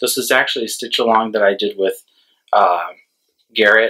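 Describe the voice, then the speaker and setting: The speaker is a man. Behind him, the background is quiet. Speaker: cross-stitch vlogger. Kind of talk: casual vlog chat. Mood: relaxed, slightly self-deprecating. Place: home room.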